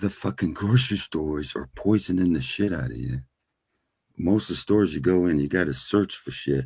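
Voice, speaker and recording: Somewhat breathy speech, fairly quick in pace, with lively intonation. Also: man, very deep, low pitch for a man. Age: 60s. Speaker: panel participant. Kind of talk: casual chat.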